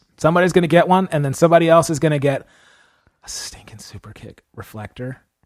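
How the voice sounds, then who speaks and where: Very fast and animated in tone, a man with a fairly high pitch talks with ordinary pitch variation and big swings in loudness. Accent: American. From California. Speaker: podcast host and drum teacher. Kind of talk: casual chat.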